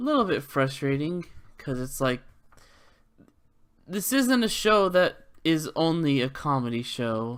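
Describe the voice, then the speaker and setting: Fairly slow speech with long, frequent pauses on a very clean recording with a silent background. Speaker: vlogger. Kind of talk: casual monologue vlog. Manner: stumbling, hesitant with fillers.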